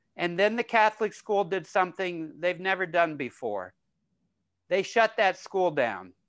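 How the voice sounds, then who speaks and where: This is a man with a high-pitched voice. He speaks at a fairly slow pace with ordinary pitch variation. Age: 60s. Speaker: creativity trainer. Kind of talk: casual interview.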